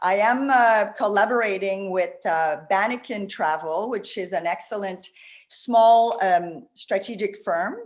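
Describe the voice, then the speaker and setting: At a fairly slow pace, a woman speaks with a slight French Canadian accent. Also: medium pitch for a woman, ordinary pitch variation. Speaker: tourism marketing consultant. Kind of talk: presentation. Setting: video call. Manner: animated.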